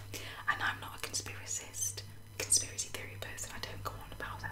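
A woman is heard here. She is whispering. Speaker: ASMR creator. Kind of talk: casual chatty talk to camera. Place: home room. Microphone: studio mic.

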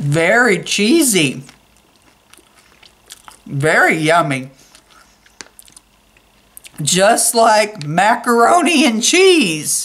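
A woman uses a put-on character voice with a fairly bright tone and big pitch swings. She talks at a very slow pace with long, frequent pauses. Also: medium pitch for a woman.

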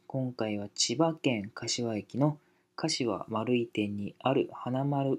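Ordinary pitch variation from a male speaker, captured very cleanly against total silence. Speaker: YouTuber. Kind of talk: casual chat. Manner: casual; halting.

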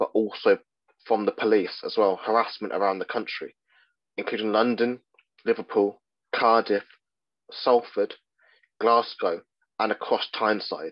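A man speaks with an RP accent. His pace is moderate, with long, frequent pauses. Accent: Received Pronunciation. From England, Midlands. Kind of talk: lecture.

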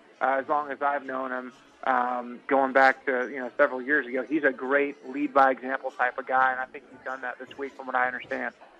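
A man's medium-pitched, monotone voice at a fairly quick pace with hardly any pauses, big swings in loudness and noticeable background noise. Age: 20s. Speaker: former college football quarterback. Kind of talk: radio interview. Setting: phone call.

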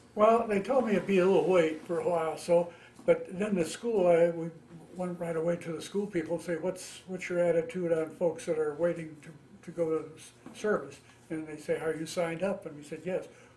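In a Midwestern accent, a man with a high pitch talks at a fairly quick pace and fairly even intonation, over light background noise. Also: big swings in loudness. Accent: general American, Midwestern. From US Midwest, Ohio. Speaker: war veteran. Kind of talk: oral history interview. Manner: halting. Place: home room.

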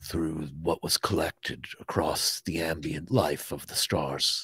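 A man puts on a character voice with a solemn tone. He speaks very slowly at a very deep, low pitch. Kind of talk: archaic fantasy speech. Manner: solemn, measured, formal.

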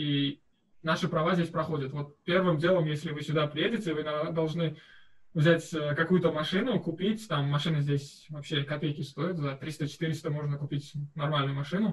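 Fairly even intonation marks a man's speech, which moves at a moderate pace. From Uzbekistan (Tashkent). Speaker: master's student. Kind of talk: interview answer. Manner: casual, conversational. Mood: relaxed, friendly. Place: home room.

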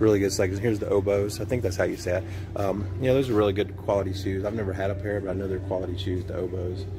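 Faint music plays in the background behind monotone, flat intonation. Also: man. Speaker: vlogger. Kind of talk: casual vlog chat. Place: shop. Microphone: phone near.

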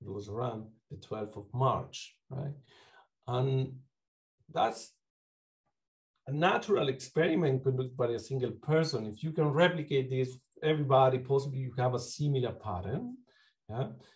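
Against a quiet background, a man with a Uruguayan accent speaks at a moderate pace in a somewhat breathy voice, using ordinary pitch variation and long, frequent pauses. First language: Spanish. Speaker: psychology lecturer and clinician; psychology lecturer. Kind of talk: academic talk. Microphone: video call.

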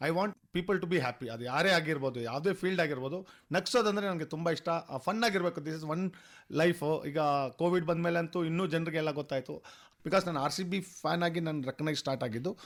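On a very clean recording with a silent background, a man with a high voice speaks in an animated tone. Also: ordinary pitch variation. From Bengaluru, India. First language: Telugu (speaking Kannada). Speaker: costumed cricket superfan. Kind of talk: radio interview. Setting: radio studio.

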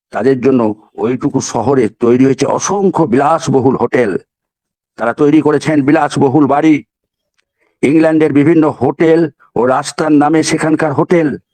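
The dry, close recording has no echo and carries a man's fairly high voice with a dark, mellow tone, very even loudness and ordinary pitch variation. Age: old. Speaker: motivational speaker. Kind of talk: motivational webinar talk. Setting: webinar.

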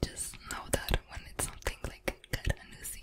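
The speaker is a woman who whispers. Her pace stays moderate. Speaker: language teaching creator. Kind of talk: soft ASMR tutorial chat. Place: home room. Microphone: studio mic.

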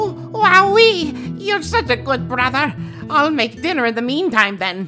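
Putting on a character voice, a man speaks at an extremely high pitch and a moderate pace, with faint music in the background. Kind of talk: comic dub. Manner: enthusiastic, loud.

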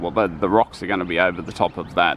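A man talks at a fairly quick pace in a normal speaking voice with ordinary pitch variation. The sound is dry with no echo, and there is light background noise. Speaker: theme park construction vlogger. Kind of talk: casual vlog commentary. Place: street. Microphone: phone near.

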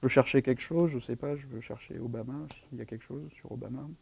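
A man speaks in a dark, mellow tone. His pace is fairly quick. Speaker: software developer advocate giving a tech talk; conference presenter. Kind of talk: tech talk with live demo. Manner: fast. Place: meeting room.

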